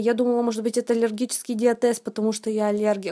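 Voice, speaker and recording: The recording is very clean, with a silent background. A woman speaks at a fairly high pitch in a monotone, flat intonation. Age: 20s. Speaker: medical college student sharing a testimonial. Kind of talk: testimony. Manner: halting, with many fillers.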